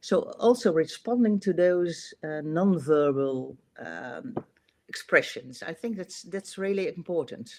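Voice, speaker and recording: With a Dutch accent, a woman speaks fairly slowly in a fairly low voice with lively intonation. Her loudness swings widely. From Netherlands. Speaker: manager. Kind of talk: casual interview chat. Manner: hesitant, many fillers.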